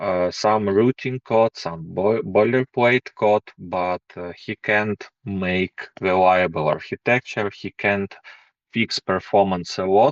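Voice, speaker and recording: Very slowly, a man talks at a fairly low pitch with fairly even intonation. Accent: non-native. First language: not English. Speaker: programming course instructor. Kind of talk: course intro presentation. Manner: hesitant, many fillers.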